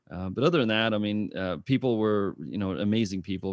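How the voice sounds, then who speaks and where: The man speaks in a plain, everyday voice, fairly low in pitch and at a fairly quick pace, with ordinary pitch variation. It's a very clean recording with a silent background. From South Africa, moved to small-town Texas at 13. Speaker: business consultant and CEO. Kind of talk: interview. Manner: casual, many filler words.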